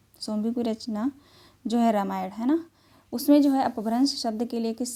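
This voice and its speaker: The woman's voice has a dark, mellow tone and a fairly high pitch. Her pitch varies in an ordinary way. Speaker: Hindi teacher. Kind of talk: online lecture. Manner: repetitive, explanatory teaching.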